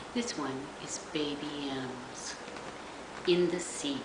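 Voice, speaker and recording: A woman's voice against loud background noise. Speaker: grandmother reading to grandchildren. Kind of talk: bedtime story reading aloud to young children. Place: home room. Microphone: webcam.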